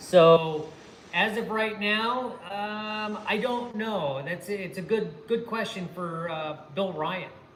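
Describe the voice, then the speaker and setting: Against noticeable background noise and audible room echo, a high-pitched man speaks at a very slow pace with ordinary pitch variation. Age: 60s. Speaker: former pro BMX rider and channel host. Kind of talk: livestream chat. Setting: garage workshop.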